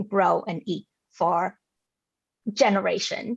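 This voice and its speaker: In a Vietnamese accent, a woman speaks with a dry, close sound and no echo. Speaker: forum speaker on food justice. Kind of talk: public talk. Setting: video call. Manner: halting, many fillers and repetitions.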